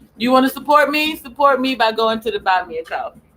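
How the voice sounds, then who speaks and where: A woman with an American accent talks at a moderate pace in a high, animated voice with ordinary pitch variation. Music plays in the background. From US South (Memphis, Tennessee). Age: 40s. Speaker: live streamer. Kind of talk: live stream monologue.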